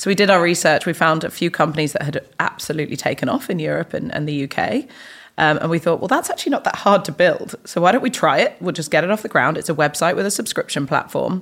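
Talking at a very fast pace with lively intonation, a woman with an English accent keeps her voice fairly low in pitch. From England. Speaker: tech startup founder and CEO. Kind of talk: podcast interview.

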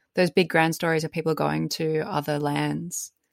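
On a very clean recording with a silent background, a woman with an Australian accent talks at a moderate pace in a fairly low pitch. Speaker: podcast co-host. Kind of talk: casual chat.

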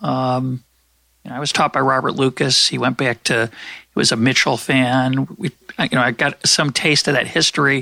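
With a bright, sharp tone and vocal fry, a man talks at a moderate pace and medium pitch, his intonation fairly even, in a dry, close sound with no echo. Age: 60s. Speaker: economics podcast host. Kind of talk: interview conversation.

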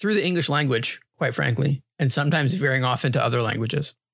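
A man speaks in a normal speaking voice, fairly high-pitched for a man, with ordinary pitch variation and a dry, close sound with no echo. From New York (grew up partly in New Hampshire). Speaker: podcast host. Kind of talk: casual chat.

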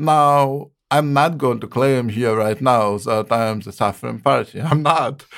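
A man with an Eastern European accent speaks at a medium pitch and a fairly slow pace, with ordinary pitch variation and hardly any pauses. The recording is very clean, with a silent background. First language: not English (Eastern European). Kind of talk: interview, answering questions about poetry.

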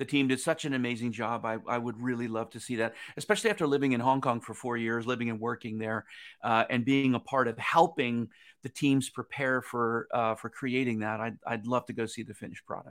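A man with a plain, everyday voice and a medium pitch speaks with fairly even intonation. The recording is very clean, with a silent background. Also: fairly quick pace. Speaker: former theme park designer, business consultant. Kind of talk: interview. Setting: live-streamed show.

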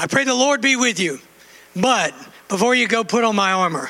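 A man's raised, projected voice at an extremely high pitch and a moderate pace. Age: 60s. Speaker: preacher. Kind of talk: sermon. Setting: church.

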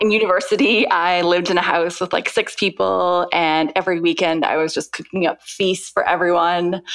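A woman with a Canadian accent speaks at a fairly quick pace in a fairly low pitch, her loudness very even. It is a normal speaking voice with fairly even intonation. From Vancouver, Canada. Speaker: food blogger. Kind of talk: interview.

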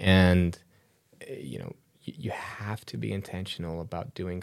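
A man with a very deep, low voice speaks at a moderate pace with an American accent. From Chicago, US Midwest. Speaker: entrepreneur and National Guard member. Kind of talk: podcast interview. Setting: in-person studio interview.

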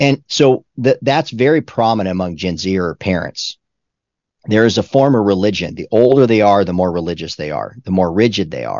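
The speaker has a normal speaking voice and lively intonation. The pace is moderate. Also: man, fairly low pitch for a man. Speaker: pastor and author. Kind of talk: interview.

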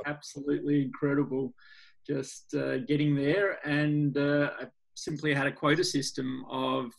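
With an Australian accent, a man speaks at a very slow pace in a fairly high pitch and a monotone, flat intonation. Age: 40s. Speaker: NGO founder, skateboarder. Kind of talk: interview conversation.

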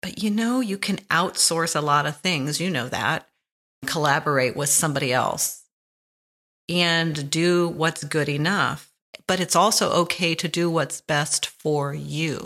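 In a very clean recording with a silent background, a woman talks at a fairly slow pace in an unremarkable speaking voice, fairly low in pitch with ordinary variation. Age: 60s. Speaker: podcast host. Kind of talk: reflective monologue. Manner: relaxed, laughs often.

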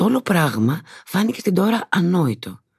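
A woman speaks at a fairly slow pace with vocal fry. Her pitch swings very widely. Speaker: actress reading the novel excerpts. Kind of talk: literary audiobook reading, narrated prose passages from the novel. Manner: measured, smooth and expressive narration.

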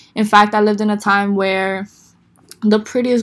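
A woman in an American accent, medium in pitch, at a fairly slow pace, in a very clean recording with a silent background. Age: 20s. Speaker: podcast host. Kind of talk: solo podcast monologue. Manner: conversational, animated.

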